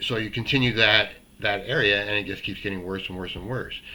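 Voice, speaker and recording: Ordinary pitch variation runs through a bright, sharp tone. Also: man. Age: 60s. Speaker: self-help video host. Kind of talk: motivational talk to camera. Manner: casual, halting with fillers.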